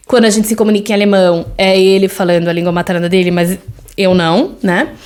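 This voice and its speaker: Against noticeable background noise, a woman talks fairly quickly at medium pitch, with fairly even intonation and very even loudness. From Brazil. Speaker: podcast host, mother. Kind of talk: solo podcast monologue. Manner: conversational, with frequent fillers.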